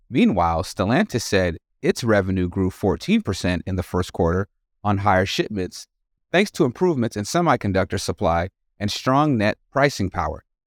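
A man with a plain, everyday voice, fairly low in pitch, at a moderate pace with lively intonation, in a dry, close sound with no echo and a very clean recording over a silent background. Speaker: news podcast co-host. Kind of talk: news reading.

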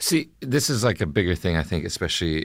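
Vocal fry runs through this man's speech. He talks at a fairly quick pace. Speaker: actor guest. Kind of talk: casual chat. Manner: charming, playful.

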